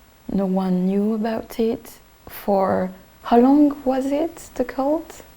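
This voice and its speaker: Someone speaks very slowly in a French accent. The intonation is lively. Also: woman, fairly high pitch for a woman. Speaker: documentary filmmaker and interviewer. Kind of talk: narration and interview.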